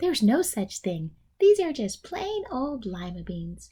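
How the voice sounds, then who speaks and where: Doing a put-on character voice, a woman speaks in a high, gentle tone with very wide pitch swings at a fairly slow pace. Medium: read story. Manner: bright, gentle.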